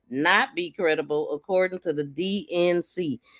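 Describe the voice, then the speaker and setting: A woman speaks at a fairly slow pace with ordinary pitch variation, in a very clean recording against a silent background. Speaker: livestream crime podcast host. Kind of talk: live stream commentary reading news.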